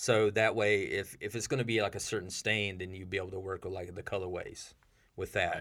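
On a very clean recording with a silent background, a man with an American accent and a plain, everyday voice talks at a fairly quick pace, fairly low in pitch, with fairly even intonation. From US South, rural South Carolina. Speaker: skateboard designer and company artist. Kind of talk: casual interview. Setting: studio.

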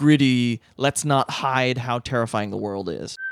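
At a fairly slow pace, a man with a plain, everyday voice speaks at a medium pitch with ordinary pitch variation, in a dry, close sound with no echo. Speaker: podcast co-host. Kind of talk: casual chat.

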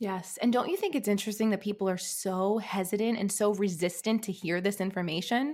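A woman's medium-pitched voice at a fairly quick pace, hardly any pauses, very even loudness and ordinary pitch variation. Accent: American. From New York. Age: 30s. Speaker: author and life coach. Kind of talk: casual interview.

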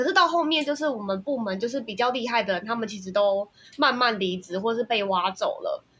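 A woman speaks with a normal speaking voice at a fairly high pitch. Her intonation is lively. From Taiwan. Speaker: software engineer. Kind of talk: casual chat.

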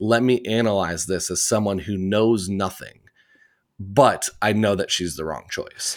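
Fairly low-pitched, a man with an American accent speaks at a fairly slow pace with ordinary pitch variation. The recording is very clean, with a silent background. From US Midwest, Indiana. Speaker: theatre podcast host. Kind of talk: casual interview chat.

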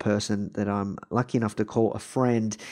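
Speaking with an Australian accent, a man uses a fairly low pitch. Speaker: podcast host. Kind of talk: interview.

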